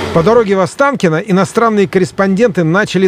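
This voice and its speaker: Against noticeable background noise, a man speaks with a high pitch. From Moscow, Russia. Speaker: podcast host and author. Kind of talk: scripted narration.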